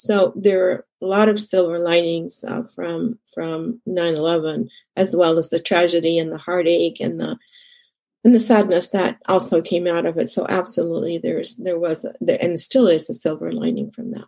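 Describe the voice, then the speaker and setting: Using vocal fry, a woman speaks at a moderate pace in a fairly low voice with a dark, mellow tone and ordinary pitch variation. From Egypt, moved to Texas as a teenager. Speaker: consultant and community leader. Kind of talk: interview.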